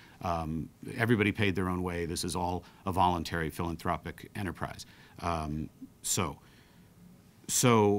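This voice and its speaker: Moderately paced male speech, very deep and low in pitch, with fairly even intonation. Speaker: council president. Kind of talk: press briefing statement. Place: meeting room. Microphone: studio mic.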